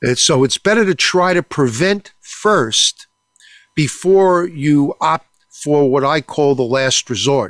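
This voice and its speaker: Lively intonation at a very slow pace and very even loudness, on a very clean recording with a silent background and a dry, close sound with no echo. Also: man. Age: 70s. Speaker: radio health show host, doctor. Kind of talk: monologue health talk show. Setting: studio. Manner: frequent filler words and hesitations; blunt.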